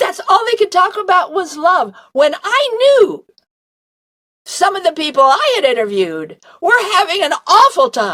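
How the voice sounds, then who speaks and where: With long, frequent pauses, a woman talks at a fairly slow pace in an extremely high pitch. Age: 80s+. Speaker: near-death experience researcher. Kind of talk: interview answer.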